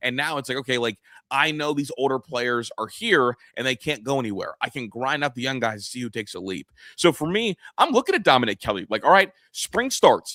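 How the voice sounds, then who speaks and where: An animated, bright, sharp voice moves at a fairly quick pace with lively intonation. The sound is dry and close with no echo, and the recording is very clean with a silent background. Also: man, medium pitch for a man. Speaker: sports podcast host. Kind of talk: casual sports talk. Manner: fast.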